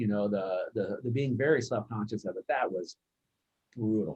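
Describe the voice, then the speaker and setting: At a moderate pace, a man talks in a medium pitch with a dark, mellow tone that is somewhat breathy. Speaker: family member telling childhood stories. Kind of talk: casual family chat. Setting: video call. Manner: repeats words, halting.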